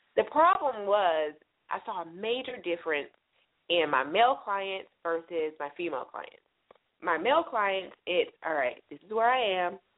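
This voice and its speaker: A woman speaks with lively intonation and big swings in loudness at a medium pitch. Hers is an unremarkable speaking voice. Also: moderate pace. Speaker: business consultant. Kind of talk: interview.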